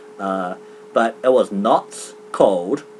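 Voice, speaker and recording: A man talks with a New Zealand accent. His intonation is lively. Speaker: gaming commentator. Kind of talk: casual chat. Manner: halting, many fillers; fast.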